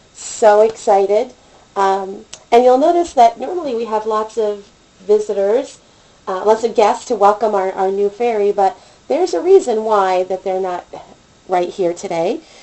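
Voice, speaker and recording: A woman talks at a moderate pace in a medium pitch. Noticeable background noise runs behind her. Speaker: doll collector vlogger. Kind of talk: unboxing video. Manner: animated.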